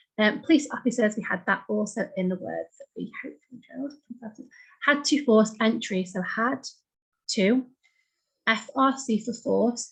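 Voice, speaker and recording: Moderate pace with long, frequent pauses, vocal fry, ordinary pitch variation, big swings in loudness, and a British accent. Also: woman, fairly high pitch for a woman. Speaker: shorthand teacher. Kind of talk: tutorial. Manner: animated.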